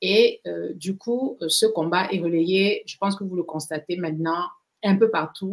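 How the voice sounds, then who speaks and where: A woman at medium pitch and a fairly slow pace, with ordinary pitch variation and big swings in loudness. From Cameroon. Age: 60s. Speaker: pharmacist and skincare activist. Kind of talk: interview. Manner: hesitant, many fillers.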